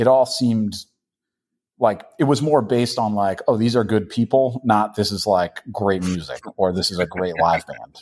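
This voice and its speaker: A man speaks in a plain, everyday voice with an American accent, his fairly low pitch moving with ordinary variation at a moderate pace on a very clean recording with a silent background. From Boston. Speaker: hardcore punk musician. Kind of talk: casual interview.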